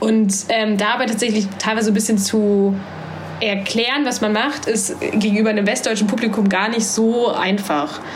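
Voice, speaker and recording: With very even loudness and fairly even intonation, a woman speaks over noticeable background noise and audible room echo. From Saxony-Anhalt, eastern Germany (Halle an der Saale). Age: 20s. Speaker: student and volunteer. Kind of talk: casual interview.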